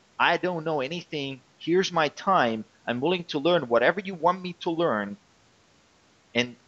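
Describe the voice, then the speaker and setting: With a non-native accent, a man speaks at a moderate pace in a fairly high pitch, his intonation lively and the sound dry and close with no echo. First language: not English. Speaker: online fitness coach and entrepreneur. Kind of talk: interview. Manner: hesitant, with repetitions.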